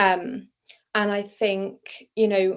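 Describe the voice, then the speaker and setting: A woman with a British accent and a monotone, flat intonation. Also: quiet background. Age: young. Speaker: neurodivergent advocate and author. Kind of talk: interview answer. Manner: hesitant, many fillers.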